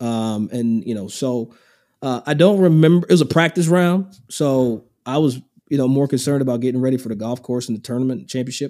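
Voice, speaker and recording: Speaking at a very fast pace, a man has a dark, mellow tone and a medium pitch. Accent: American. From Kentucky, US. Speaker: golf podcaster and broadcaster. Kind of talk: casual chat.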